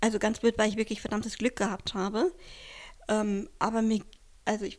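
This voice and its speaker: This is a normal speaking voice with fairly even intonation, delivered at a moderate pace. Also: woman. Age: 40s. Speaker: kidney transplant recipient. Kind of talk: interview.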